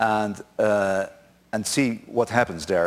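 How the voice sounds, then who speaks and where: Speaking with a Dutch accent, a man keeps a fairly slow pace. His intonation stays fairly even. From Netherlands. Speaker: conference speaker. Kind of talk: conference talk. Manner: halting.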